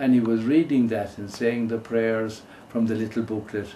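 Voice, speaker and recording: A man with an Irish accent and a medium pitch. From Ireland. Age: 80s+. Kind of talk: interview answer.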